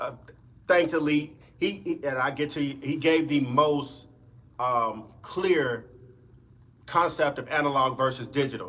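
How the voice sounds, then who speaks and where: A man with a Mississippi accent talks at a fairly slow pace with long, frequent pauses, his fairly high-pitched voice bright and sharp in tone, with fairly even intonation. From US South, Mississippi Delta. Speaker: music producer and streamer. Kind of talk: live stream chat. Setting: home studio live stream.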